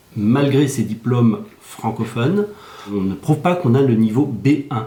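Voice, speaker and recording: A man at medium pitch, very slow pace and lively intonation, with audible room echo. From Belgium. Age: 60s. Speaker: Belgian resident seeking French citizenship. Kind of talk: news interview.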